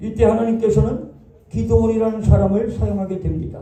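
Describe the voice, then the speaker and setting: Audible room echo and noticeable background noise around a male speaker. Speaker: pastor. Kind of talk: sermon.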